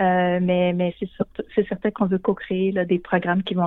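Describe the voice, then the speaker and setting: The woman's pitch is medium and her intonation monotone and flat. She keeps a moderate pace. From Quebec, Shawinigan. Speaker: college director. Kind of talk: radio interview. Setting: phone call. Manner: halting.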